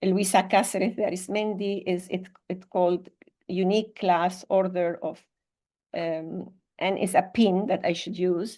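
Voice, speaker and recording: At a fairly slow pace, a woman talks in a dark, mellow tone at a medium pitch, her intonation monotone and flat. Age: 60s. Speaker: psychotherapist and leadership mentor. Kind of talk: interview conversation.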